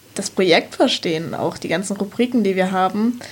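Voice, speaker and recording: Noticeable background noise sits behind the speech. The pace is moderate, with ordinary pitch variation. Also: woman. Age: young. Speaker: volunteer researcher. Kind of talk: casual chat. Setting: studio.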